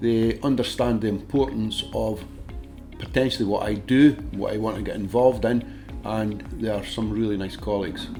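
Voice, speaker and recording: With music in the background, a man with a Dundee accent speaks at a fairly low pitch with fairly even intonation. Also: moderate pace. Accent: Scottish (Dundee). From Dundee, Scotland. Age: 60s. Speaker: ship maintenance worker. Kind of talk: interview answer.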